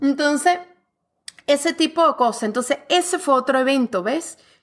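Recorded very cleanly against a silent background, a woman speaks. She talks at a moderate pace with lively intonation. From Venezuela. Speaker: author and fitness coach. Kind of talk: interview conversation.

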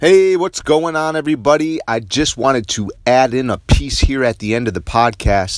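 A man talks at a moderate pace with hardly any pauses, in a medium-pitched voice with lively intonation. He has an unremarkable speaking voice. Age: 50s. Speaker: podcast host. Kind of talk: personal monologue.

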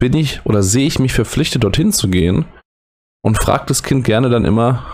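Somewhat breathy, the voice moves at a fairly quick pace with lively intonation and very even loudness. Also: man. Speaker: educator and podcast host. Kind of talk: solo late-night podcast monologue. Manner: halting, hesitant.

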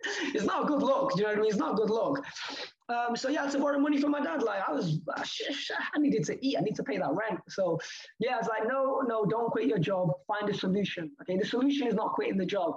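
A man with an extremely high voice speaks very fast in an animated tone, his intonation lively and his loudness very even. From Leeds, northern England. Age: 20s. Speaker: crypto entrepreneur. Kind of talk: casual interview.

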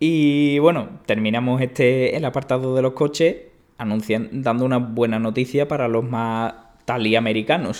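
Medium in pitch with fairly even intonation, a man talks at a moderate pace on a very clean recording with a silent background. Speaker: tech podcast co-host. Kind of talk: casual chat. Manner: hesitant, many fillers.

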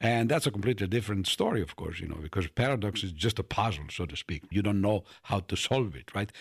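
Somewhat breathy, a man speaks with an Italian accent and hardly any pauses. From Italy, Turin. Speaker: mathematics professor. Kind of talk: interview. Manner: frequent fillers like you know and right.

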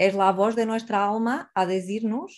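A woman with a Portuguese accent, fairly high pitch and ordinary pitch variation, at a very slow pace over a quiet background. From Portugal. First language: Portuguese (speaking Spanish). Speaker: psychologist and life-purpose coach. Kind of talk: online seminar talk.

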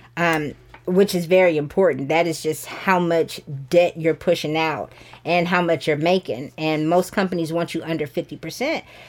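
A woman with an American accent speaks in an ordinary speaking voice at a moderate pace. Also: fairly low pitch for a woman, fairly even intonation. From US South, Georgia (Sandy Springs). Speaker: realtor. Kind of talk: casual interview.

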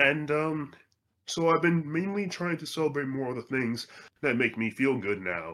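A bright, sharp tone comes through. The speaker is a man. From Virginia, US. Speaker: voice actor and podcast host. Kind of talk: casual interview chat. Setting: call or video call.

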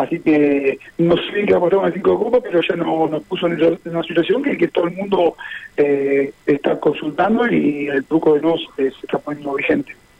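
Noticeable background noise accompanies a man whose fairly high voice moves at a moderate pace, its pitch varying in an ordinary way. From Buenos Aires, Argentina. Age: 50s. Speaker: truco association president. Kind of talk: radio interview. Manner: halting.

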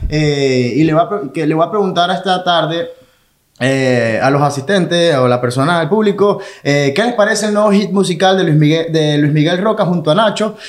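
With lively intonation and very even loudness, a man speaks at a moderate pace in a high voice. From Venezuela, Maracay. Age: 30s. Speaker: comedian. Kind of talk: casual chat.

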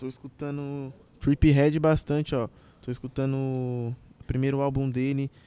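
A man with a Paulista accent, fairly high in pitch, dark and mellow in tone, with monotone, flat intonation at a fairly slow pace. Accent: Paulista Brazilian Portuguese. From Brazil, Carapicuíba, São Paulo state. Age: 20s. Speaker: trap artist. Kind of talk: casual chat.

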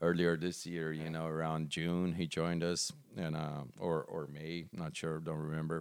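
Speaking at a moderate pace, a man uses a very deep, low pitch with monotone, flat intonation. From Brazil. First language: Portuguese. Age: 40s. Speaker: metal band musician. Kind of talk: casual interview.

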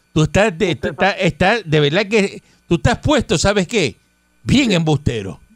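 With a Puerto Rican accent, a high-pitched man talks at a moderate pace in an animated tone with lively intonation. His loudness stays very even, and the sound is dry and close with no echo. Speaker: radio host. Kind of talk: news reading; casual chat.

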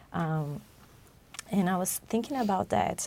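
Her voice fairly low, a woman speaks with a Portuguese accent. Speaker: podcast co-host. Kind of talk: religious study discussion. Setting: studio.

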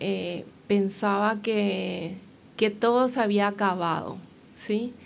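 Very slowly, a woman speaks at a medium pitch. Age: 40s. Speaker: athlete and motivational speaker with multiple sclerosis. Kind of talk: interview testimony.

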